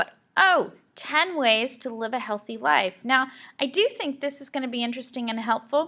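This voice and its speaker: A woman speaks at a moderate pace in a raised, projected voice with a high pitch and a bright, sharp tone. Her intonation is lively, and her loudness swings widely. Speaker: school librarian. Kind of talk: tutorial.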